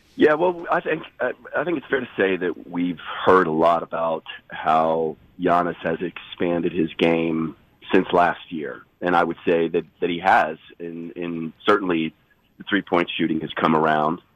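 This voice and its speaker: The man's voice is raspy and very deep, with a low pitch. He talks at a fairly slow pace with fairly even intonation. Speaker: NBA insider. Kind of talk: radio phone interview. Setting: phone call. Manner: halting, many restarts.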